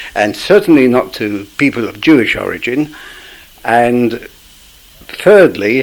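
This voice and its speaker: Speaking in a London accent at medium pitch, a man talks at a fairly slow pace with long, frequent pauses, lively intonation and big swings in loudness. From East End of London. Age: 70s. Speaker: interviewee recalling radical history. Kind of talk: oral history interview. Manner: halting.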